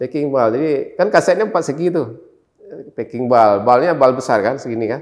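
A man speaks at a fairly quick pace with lively intonation and big swings in loudness. The background is quiet. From Indonesia, North Aceh; Indonesia. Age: 50s. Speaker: journalist; former TV journalist recounting conflict coverage. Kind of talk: interview storytelling. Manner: hesitant with many fillers. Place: studio.

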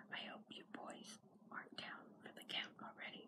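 Moderate-paced whispering from a woman. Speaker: ASMR creator. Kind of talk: ASMR comic reading; whispered reading aloud. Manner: whispered. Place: home room. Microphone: phone near. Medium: read story.

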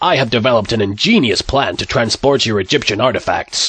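A cartoonish character voice from a man at a medium pitch, very fast, with ordinary pitch variation, very even loudness and a dry, close sound with no echo. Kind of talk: comic dubbing. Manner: sarcastic, brash.

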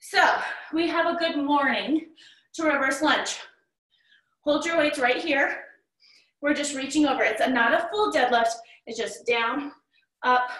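In a quiet background with audible room echo, a woman speaks fairly slowly in a high, bright, sharp voice with ordinary pitch variation and long, frequent pauses. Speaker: fitness instructor. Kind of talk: workout instruction. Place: home room. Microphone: camera far.

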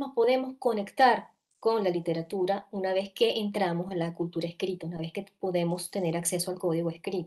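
A woman speaks at a moderate pace. Everything behind her is quiet. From coastal Venezuela. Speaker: children's literature researcher and author; speaker. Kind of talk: panel discussion. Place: home room. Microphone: earbuds.

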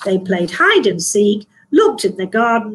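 With lively intonation, a woman speaks at a medium pitch with a slightly husky edge.

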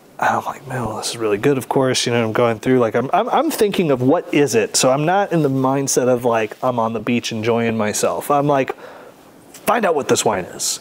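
In an American accent, a man speaks at a moderate pace with ordinary pitch variation. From California. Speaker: sommelier; interviewee. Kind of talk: interview. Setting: wine bar or shop. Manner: casual. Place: shop. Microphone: lapel.

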